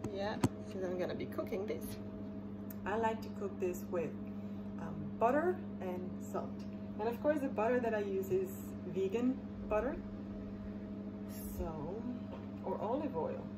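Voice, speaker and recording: Long, frequent pauses break up a woman's speech amid loud background noise. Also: moderate pace. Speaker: home cooking vlogger. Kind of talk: casual vlog chat. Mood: relaxed, warm, self-care talk. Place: kitchen. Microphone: phone near.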